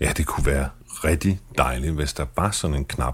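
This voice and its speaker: A man speaks with a very deep, low pitch. Noticeable background noise runs behind him. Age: 40s. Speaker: podcast host, journalist with multiple sclerosis. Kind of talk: personal podcast narration and interview. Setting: fast food restaurant in a shopping centre.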